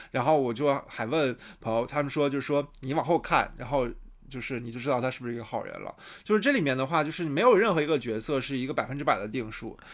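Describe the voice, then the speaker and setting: A man with a fairly high voice talks at a very fast pace with ordinary pitch variation on a very clean recording with a silent background. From Shandong, China. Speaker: podcast host. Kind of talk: casual chat, podcast recorded live-streamed. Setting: live stream while recording.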